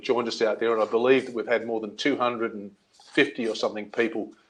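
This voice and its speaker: Speaking with an Australian accent, a man keeps to a medium pitch. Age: 60s. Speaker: seniors' advocate and former journalist. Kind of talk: webinar interview.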